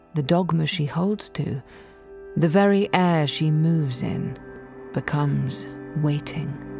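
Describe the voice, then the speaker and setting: A woman's very deep, low voice at a very slow pace with long, frequent pauses and lively intonation, over music in the background. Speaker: actor reading poetry. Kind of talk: poetry reading.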